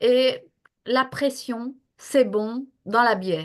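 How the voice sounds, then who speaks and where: Fairly high-pitched female speech with ordinary pitch variation. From northern France near Belgium. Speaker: health professional and coach. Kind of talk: interview. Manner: hesitant, many fillers.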